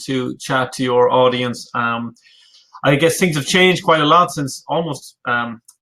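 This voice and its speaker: A man speaks at a moderate pace in an Irish accent. His voice is fairly high and bright and sharp in tone, with ordinary pitch variation. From Ireland. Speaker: business coach. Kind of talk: webinar presentation. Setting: live online webinar.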